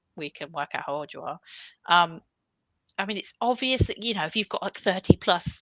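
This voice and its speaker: A woman with a British accent and a fairly low pitch speaks at a fairly quick pace over a quiet background. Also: dry, close sound with no echo. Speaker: career coach and CV expert. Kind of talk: live webinar Q&A advice. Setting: live stream with online audience.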